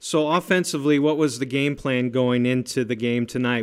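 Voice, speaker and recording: A man's unremarkable speaking voice, medium in pitch with ordinary pitch variation, at a moderate pace on a very clean recording with a silent background. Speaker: radio sports announcer and interviewer. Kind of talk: radio sportscast, reading scores and interviewing coaches.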